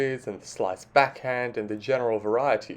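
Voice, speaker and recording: The speaker has an Australian accent. The pace is fairly quick. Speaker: sports commentator, video essayist. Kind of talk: scripted opinion commentary.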